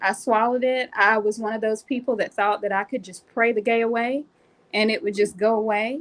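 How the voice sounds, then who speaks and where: A plain, everyday voice with an American accent, fairly even intonation, and a fairly quick pace. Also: woman, fairly high pitch for a woman. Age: 40s. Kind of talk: personal testimony.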